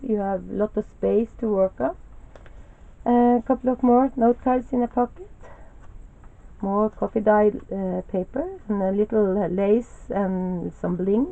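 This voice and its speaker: Speaking in a Norwegian accent, a woman with a fairly high pitch talks at a fairly slow pace with ordinary pitch variation. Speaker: crafter. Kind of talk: show-and-tell tutorial. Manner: halting, many fillers.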